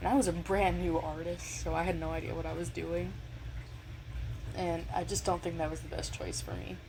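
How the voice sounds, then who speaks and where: Soft-spoken, a woman talks at a moderate pace with audible room echo. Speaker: digital artist. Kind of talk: casual voiceover tutorial. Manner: hesitant, many fillers. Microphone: may come out too quiet.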